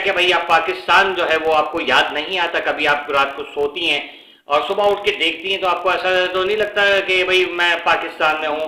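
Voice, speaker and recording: Ordinary pitch variation in a Pakistani accent, with audible room echo and noticeable background noise. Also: man. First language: Urdu (speaking Hindi). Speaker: YouTuber. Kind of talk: casual commentary vlog. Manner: halting, many fillers.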